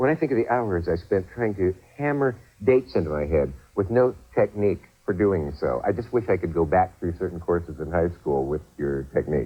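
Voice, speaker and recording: Over music in the background, a man with a very deep, low pitch talks at a fairly quick pace with very wide pitch swings. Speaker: talk show host. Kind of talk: infomercial host talk.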